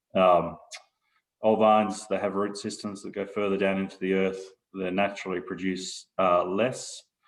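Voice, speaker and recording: A man speaks with an Australian accent. His very deep, low voice stays flat and monotone. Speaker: winery proprietor. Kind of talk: casual interview.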